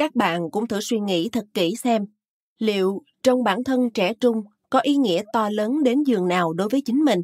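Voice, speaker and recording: Fairly slow and fairly high-pitched, a woman with a normal speaking voice uses lively intonation in a dry, close sound with no echo. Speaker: audiobook narrator. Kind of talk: audiobook reading of a health book. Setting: studio. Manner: formal.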